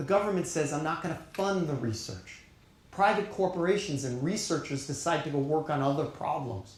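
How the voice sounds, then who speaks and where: A man's fairly high voice in a New York accent, animated in tone with lively intonation, at a moderate pace with audible room echo. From Long Island, New York. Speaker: keynote speaker, data science leader. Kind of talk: keynote speech.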